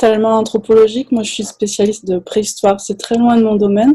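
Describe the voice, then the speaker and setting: A woman speaks in a monotone, with flat intonation and a fairly high pitch. Her tone is dark and mellow, and somewhat breathy. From France. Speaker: anthropology professor. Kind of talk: panel discussion.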